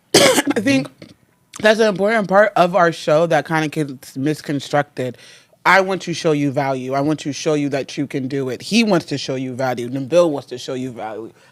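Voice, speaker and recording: This man talks at a moderate pace in a fairly high pitch, his intonation lively. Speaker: podcast host. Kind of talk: podcast interview.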